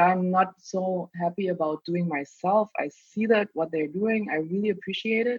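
This woman talks at a moderate pace, her pitch varying in an ordinary way. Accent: German. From Germany, East Berlin. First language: German. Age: 30s. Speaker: doctor, podcast guest. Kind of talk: casual interview chat.

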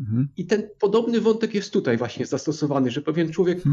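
The speaker is a man with a high pitch. His voice moves in very wide pitch swings. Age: 50s. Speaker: book podcaster. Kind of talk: casual chat.

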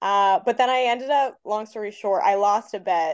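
With an ordinary speaking voice, a woman at a fairly high pitch talks at a moderate pace in a dry, close sound with no echo and a quiet background. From Canada, Nova Scotia. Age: 20s. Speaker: comedian. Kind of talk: casual chat.

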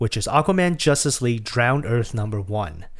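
Recorded very cleanly against a silent background, a man speaks at a moderate pace with lively intonation. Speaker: podcast host. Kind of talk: casual chat. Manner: loud.

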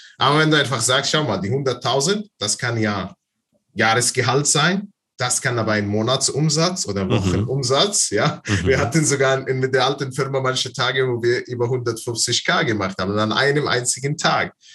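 A man with an Arabic accent, lively intonation, moderate pace. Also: medium pitch for a man. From Palestine, Bethlehem. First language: Arabic (speaking German). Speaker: online seller and business coach. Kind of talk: interview.

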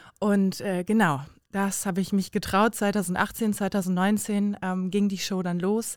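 A woman with a medium pitch speaks at a very slow pace in a monotone, flat way. The recording is very clean with a silent background. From Bremen, northern Germany. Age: 20s. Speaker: influencer and former reality TV contestant. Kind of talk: casual chat.

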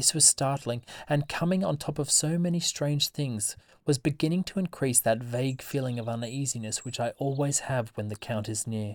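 A man talks at a moderate pace with a fairly high pitch and ordinary variation. The sound is dry and close with no echo, in a very clean recording over a silent background. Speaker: podcast host. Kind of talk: reading aloud from a gothic novel, audiobook-style horror narration. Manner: animated, chatty and enthusiastic when speaking off-script.

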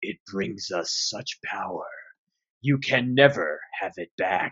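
At a fairly slow pace, a man puts on a character voice. His pitch sits in the medium range.

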